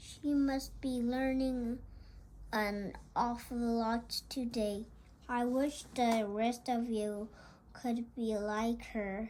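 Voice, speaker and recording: Using a put-on character voice, a woman speaks very slowly at a fairly high pitch, monotone and flat with very even loudness, against clear background noise. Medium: read story. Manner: calm, approving.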